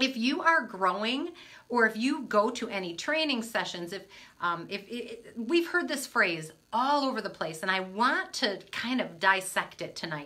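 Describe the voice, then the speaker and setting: Speaking at a moderate pace with a Midwestern American accent, a woman uses a fairly high voice that swings very widely in pitch. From US Midwest, Michigan. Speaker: motivational speaker, coach. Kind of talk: live stream talk to viewers. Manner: casual, chatty.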